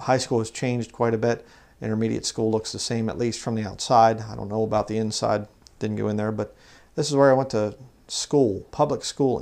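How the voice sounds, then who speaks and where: Fairly even in intonation and medium in pitch, a man with an American accent talks at a fairly quick pace. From Pennsylvania, Lancaster County; Pennsylvania. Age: 40s. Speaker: religious channel host. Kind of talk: casual vlog narration. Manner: halting, many fillers. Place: home room.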